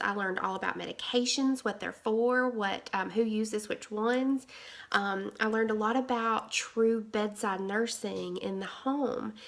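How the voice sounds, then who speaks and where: With a Southern US accent, a woman talks in a fairly high voice with hardly any pauses. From Alabama. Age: 30s. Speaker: nurse. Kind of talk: interview. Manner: halting.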